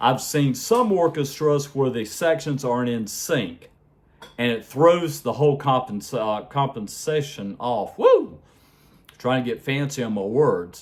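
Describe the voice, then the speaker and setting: This man has an unremarkable speaking voice, medium in pitch with ordinary pitch variation, and he talks at a fairly slow pace in an American accent. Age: 60s. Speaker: music vlogger, trained singer. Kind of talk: casual vlog monologue.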